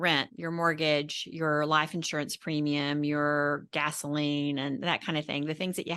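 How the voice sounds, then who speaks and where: With hardly any pauses, a woman speaks in a flat monotone, her very deep, low voice carrying a bright, sharp tone over a quiet background. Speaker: financial advisor podcast host. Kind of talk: podcast interview. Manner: fast.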